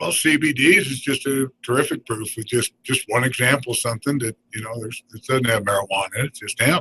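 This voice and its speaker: Very fast and with hardly any pauses, the voice swings widely in loudness while showing ordinary pitch variation, in a dry, close recording with no echo. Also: man, medium pitch for a man. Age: 60s. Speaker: radio host. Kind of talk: radio interview.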